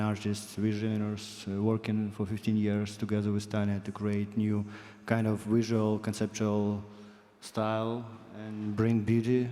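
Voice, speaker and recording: At a fairly slow pace, a man speaks in a fairly low voice with a dark, mellow tone. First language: not English. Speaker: fine artist. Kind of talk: panel discussion.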